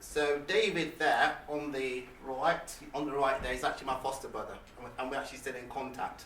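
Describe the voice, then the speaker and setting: Fairly quick speech with hardly any pauses and fairly even intonation, over noticeable background noise. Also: man, fairly high pitch for a man. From England, Leicester, with childhood years in Nigeria. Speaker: motivational speaker. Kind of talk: motivational talk. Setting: stage with audience. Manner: halting.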